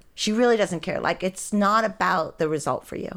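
In an American accent, a woman with a normal speaking voice talks at a moderate pace with ordinary pitch variation, on a very clean recording with a silent background. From western Pennsylvania. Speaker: hot yoga instructor. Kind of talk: casual interview, life story.

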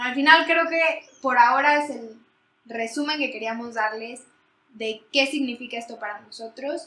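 A woman with a high pitch and a bright, sharp tone talks at a fairly slow pace, with ordinary pitch variation and big swings in loudness. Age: 20s. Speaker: podcast co-host, economics student. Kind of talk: casual chat.

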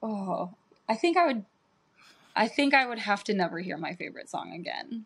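In an American accent, a woman with a fairly high pitch and a somewhat breathy voice speaks at a moderate pace. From Chicago area, US Midwest. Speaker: DJ and music producer. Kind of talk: casual chat.

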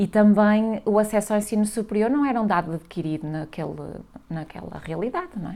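Speaking in a northern Portuguese accent, a woman has a medium pitch and a dark, mellow tone. Her intonation is lively and her pace fairly quick. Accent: northern Portuguese (Minho). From northern Portugal, Valença do Minho. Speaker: scientist and social entrepreneur. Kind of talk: interview.

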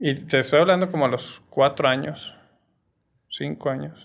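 A man with a fairly high pitch speaks at a fairly slow pace, with vocal fry. The recording is very clean and the background silent. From Torreón, Coahuila, northern Mexico. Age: 40s. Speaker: film producer and social entrepreneur. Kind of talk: casual chat.

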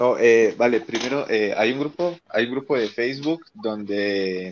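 A man talks at a fairly slow pace with a medium pitch. It is a normal speaking voice with ordinary pitch variation. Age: 20s. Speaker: marching band teacher. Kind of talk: casual chat.

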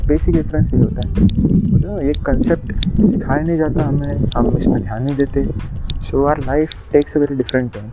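With hardly any pauses, a man speaks over noticeable background noise. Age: 20s. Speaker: engineer, first-time podcaster. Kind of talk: casual monologue.

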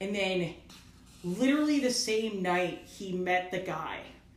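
Audible room echo surrounds a woman speaking at a medium pitch. She moves at a fairly slow pace with lively intonation. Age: 30s. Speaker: podcast host, comic artist. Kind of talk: casual chat.

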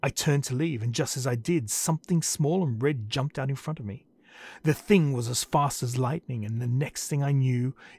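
Someone is doing plain reading aloud. Their pitch moves in an ordinary way.

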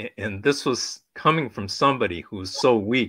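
Speaking at a moderate pace, a man has a medium pitch. His tone is bright and sharp, with ordinary pitch variation. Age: 60s. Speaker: cancer patient and YouTuber. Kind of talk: personal testimony in panel discussion. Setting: video call.

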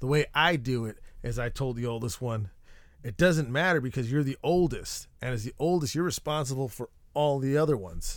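A man with a plain, everyday voice talks at a fairly quick pace in a medium pitch with ordinary pitch variation, on a very clean recording with a silent background. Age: 30s. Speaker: podcast host. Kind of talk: casual monologue. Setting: treehouse recording space. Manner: rambling, self-interrupting.

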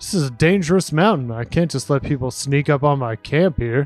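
A man uses a gruff, put-on character voice with a fairly high pitch at a fairly quick pace. Faint music sits in the background. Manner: gruff, grunting, hostile.

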